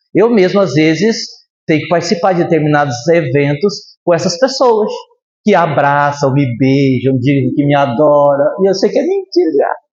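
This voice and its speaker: With audible room echo, a man speaks at a fairly high pitch with lively intonation and very even loudness. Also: moderate pace. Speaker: spiritist lecturer. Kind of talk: lecture. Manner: animated.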